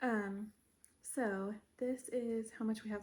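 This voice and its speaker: Somewhat breathy, with a dark, mellow tone, a woman speaks with fairly even intonation. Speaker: crochet vlogger. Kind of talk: casual vlog chat. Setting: at home. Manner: casual, filler-heavy.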